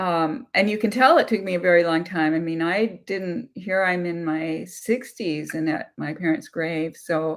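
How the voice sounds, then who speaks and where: Fairly low in pitch, a woman speaks at a fairly slow pace with ordinary pitch variation and hardly any pauses. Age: 60s. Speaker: abuse survivor and channel host. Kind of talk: live-stream Q&A discussion. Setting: YouTube live stream. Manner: halting, many fillers.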